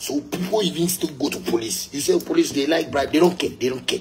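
Talking at a very fast pace, this man is heard over noticeable background noise. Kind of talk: casual rant to viewers. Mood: annoyed, emphatic. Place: home room. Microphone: phone near.

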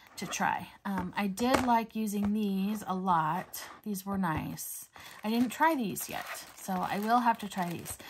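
Noticeable noise runs in the background. A woman speaks at a fairly slow pace. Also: ordinary pitch variation. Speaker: coloring hobby creator. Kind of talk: casual haul vlog chat. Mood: cheerful, enthusiastic. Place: home room.

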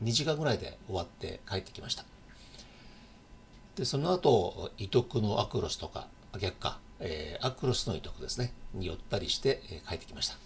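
Speaking at a moderate pace, a man's voice shows very wide pitch swings and big swings in loudness against light background noise. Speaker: local channel host. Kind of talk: casual news vlog chat. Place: home room. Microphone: webcam.

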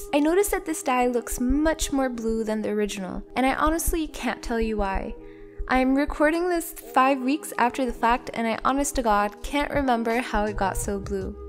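A woman's high-pitched voice with lively intonation at a moderate pace, music in the background. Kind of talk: tutorial narration.

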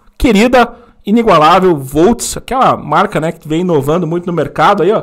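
Against a quiet background, a man talks at a fairly quick pace in a high pitch with ordinary pitch variation. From Francisco Beltrão, Paraná, southern Brazil; Paraná. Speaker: motovlog channel host; podcast host. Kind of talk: casual live chat. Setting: studio. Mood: jovial, laughing. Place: studio. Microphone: studio mic.

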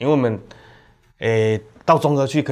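A man is speaking. His pace is very fast. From Taiwan. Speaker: county councillor; council guest. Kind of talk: panel discussion. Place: studio. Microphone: lapel.

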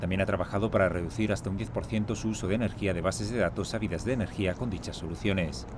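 Rushing at a very fast pace, a man talks with a fairly low pitch. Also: ordinary pitch variation, hardly any pauses. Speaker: news reporter. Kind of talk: news report narration.

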